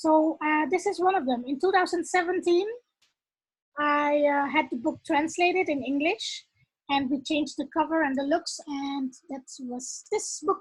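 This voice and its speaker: A woman speaks at a high pitch with a Dutch accent. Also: ordinary pitch variation, moderate pace. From Netherlands. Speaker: author and leadership coach. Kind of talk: casual talk to camera. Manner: halting, many fillers.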